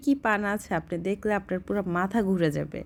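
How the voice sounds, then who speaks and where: A woman speaks in an ordinary speaking voice at a medium pitch on a very clean recording with a silent background. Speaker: vlogger. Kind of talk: travel vlog narration. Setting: in a car at night, then outdoor market. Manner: conversational.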